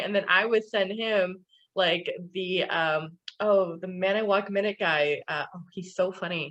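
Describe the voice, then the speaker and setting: A woman at a very slow pace, medium in pitch, with a slight Californian accent and fairly even intonation. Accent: slight Californian Valley girl. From California, the Valley. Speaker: podcast co-host. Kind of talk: casual chat.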